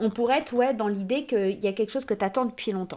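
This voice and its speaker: A woman with a fairly high pitch speaks at a moderate pace with ordinary pitch variation, on a very clean recording with a silent background. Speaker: tarot card reader. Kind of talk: oracle card reading. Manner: loud; animated. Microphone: new microphone.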